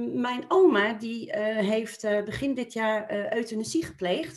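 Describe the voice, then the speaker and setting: Speaking fairly slowly, a woman has an ordinary speaking voice with fairly high pitch and ordinary pitch variation. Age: 40s. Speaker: podcast guest, mother. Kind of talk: casual conversation. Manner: laughs often.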